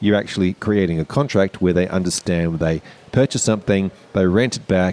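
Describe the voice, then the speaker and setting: A man with a very deep, low pitch and a dark, mellow tone talks at a very fast pace. The sound is dry and close, with no echo. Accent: Australian. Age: 40s. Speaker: parent and financial educator. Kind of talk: casual chat. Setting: hotel lobby.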